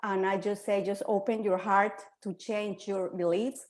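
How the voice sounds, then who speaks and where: A woman speaks with a Spanish accent at a medium pitch. Her pace is moderate. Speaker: quantum healer. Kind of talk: panel discussion.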